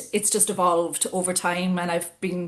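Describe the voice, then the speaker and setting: At a fairly quick pace, a woman with an Irish accent speaks at a medium pitch. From Ireland, Cork City. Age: 40s. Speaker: business executive. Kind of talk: interview conversation. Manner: hesitant with fillers.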